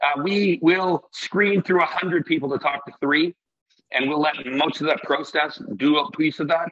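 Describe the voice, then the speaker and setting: A man with a plain, everyday voice speaks at a fairly high pitch and a fairly slow pace, with very even loudness and ordinary pitch variation. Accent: Canadian. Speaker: restaurant owner. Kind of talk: casual interview chat.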